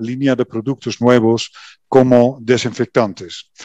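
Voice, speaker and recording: At a fairly slow pace, a man with medium pitch speaks in a monotone, flat intonation, the sound dry and close with no echo. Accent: Dutch. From Netherlands. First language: Dutch (speaking Spanish). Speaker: company executive. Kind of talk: welcome speech. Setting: virtual event. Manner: halting.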